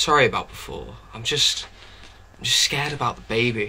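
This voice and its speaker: A raspy, put-on character voice from a man at medium pitch, moderate pace, with clear background noise. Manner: angry, shouting, then abruptly apologetic.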